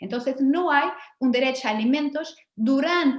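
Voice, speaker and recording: A woman's high-pitched voice with a slight Portuguese accent. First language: Portuguese (speaking Spanish). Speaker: law professor. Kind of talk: academic lecture.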